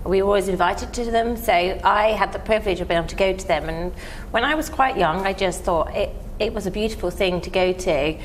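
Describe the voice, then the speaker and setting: With a southern English accent, a woman speaks very fast at a medium pitch with ordinary pitch variation, amid audible room echo and noticeable background noise. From southern England, near Windsor. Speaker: event planner. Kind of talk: interview.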